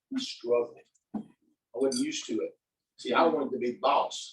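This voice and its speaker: A man talking at a fairly quick pace. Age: 60s. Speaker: network marketing speaker. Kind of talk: motivational talk to live audience. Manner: animated.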